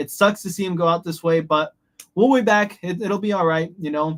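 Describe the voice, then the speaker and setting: With ordinary pitch variation, a man speaks fairly quickly. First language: Spanish. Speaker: radio host. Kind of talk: live show outro.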